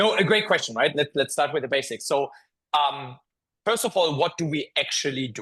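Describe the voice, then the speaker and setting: There is a slight German accent in this man's speech. His pitch is fairly high with ordinary variation, and the background stays quiet. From Germany. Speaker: tech company founder and CEO. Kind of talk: interview podcast. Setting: office. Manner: hesitant, many filler words.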